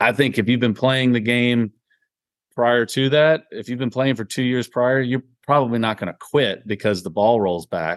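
A man talks at a moderate pace in a plain, everyday voice, medium in pitch with ordinary variation. The background is quiet. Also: dry, close sound with no echo. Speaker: podcast co-host. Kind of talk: casual chat.

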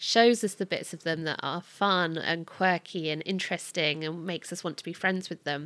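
Over a very clean recording with a silent background, a woman with an unremarkable speaking voice talks at a moderate pace and a fairly low pitch, with fairly even intonation and hardly any pauses. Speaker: podcast host. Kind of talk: casual chat.

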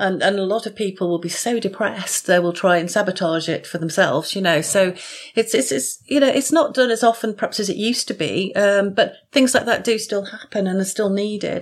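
A woman with a plain, everyday voice talks at a medium pitch and a fairly quick pace, with ordinary pitch variation and hardly any pauses. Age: 50s. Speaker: author and mental health nurse. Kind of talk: podcast interview.

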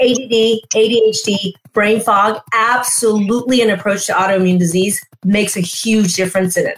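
An ordinary speaking voice from a woman, fairly high in pitch, at a moderate pace with fairly even intonation and very even loudness. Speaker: integrative physician, podcast host. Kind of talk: educational interview. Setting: video broadcast.

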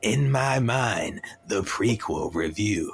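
A raspy, put-on character voice from a man, playful in tone and at a very slow pace. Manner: spooky, playful.

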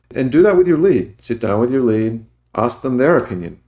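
The speaker is a man with an Australian accent. Behind him, the background stays quiet. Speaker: engineering manager. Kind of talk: interview.

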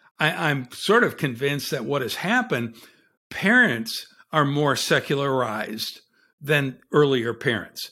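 In a very clean recording with a silent background, the voice has a bright, sharp tone and ordinary pitch variation. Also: man, fairly high pitch for a man. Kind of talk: podcast interview. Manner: halting, repeats words.

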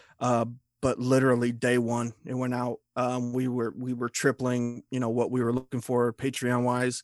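A man with a Midwestern US accent speaks at a moderate pace and medium pitch in a flat monotone. The sound is dry and close with no echo. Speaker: horror writer, magazine founder. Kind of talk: casual chat.

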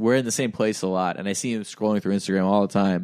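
A man is speaking. The recording is very clean, with a silent background. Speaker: podcast host. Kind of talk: casual chat. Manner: animated.

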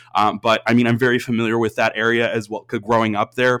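A man with an American accent, medium-pitched and fairly quick. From Austin, Texas. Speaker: university admissions advisor. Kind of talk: interview. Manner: energetic.

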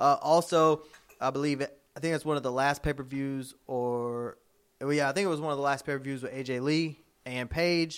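This man has a plain, everyday voice, fairly high in pitch and fairly even in intonation. He talks at a moderate pace in a very clean recording with a silent background. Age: 20s. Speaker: wrestling podcast co-host. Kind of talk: casual chat.

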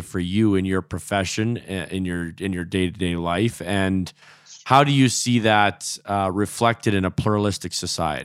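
A man's ordinary speaking voice with a Canadian accent, fairly low in pitch, at a moderate pace with ordinary pitch variation. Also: very clean recording, silent background. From Alberta. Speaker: podcast co-host. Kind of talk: casual chat.

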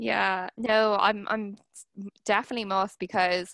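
With an Irish accent, a woman talks at a medium pitch and fairly even intonation in a dry, close recording with no echo, very clean and with a silent background. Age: 20s. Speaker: podcast host and barrister. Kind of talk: casual interview chat.

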